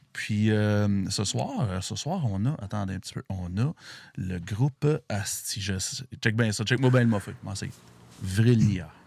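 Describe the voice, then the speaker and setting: In a Quebec accent, a man with a fairly low pitch speaks very slowly with ordinary pitch variation, on a very clean recording with a silent background. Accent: Québécois French. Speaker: podcast host. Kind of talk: casual podcast chat. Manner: animated.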